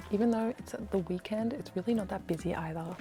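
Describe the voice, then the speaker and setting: A woman speaks softly at a medium pitch, with ordinary pitch variation. Music plays in the background. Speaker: travel and lifestyle vlogger. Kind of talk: casual vlog. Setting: inside a secondhand bookshop. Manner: soft-spoken.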